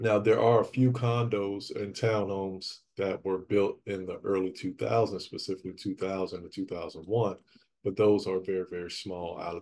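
An unremarkable speaking voice moves at a moderate pace with fairly even intonation over light background noise. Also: man. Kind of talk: casual vlog chat. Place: empty room.

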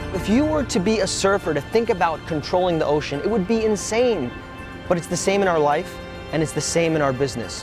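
A man with a high voice talks at a fairly quick pace and with lively intonation, clear music playing behind him and a dry sound with no echo. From Brooklyn, New York City; New York City. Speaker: motivational speaker. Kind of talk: keynote speech; motivational talk to camera. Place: beach. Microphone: lapel.

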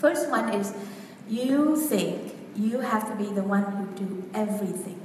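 A woman talks at a fairly slow pace in a fairly high pitch. Light background noise and audible room echo are present. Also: ordinary pitch variation. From Vietnam. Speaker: women's coach. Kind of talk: workshop talk. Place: hall. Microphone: camera far.

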